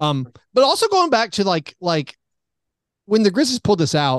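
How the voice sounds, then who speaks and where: Over a quiet background, with dry, close sound and no echo, a man in a normal speaking voice talks at a fairly quick pace with lively intonation. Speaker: sports podcaster guest. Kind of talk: casual sports chat. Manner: conversational, wry, humorous.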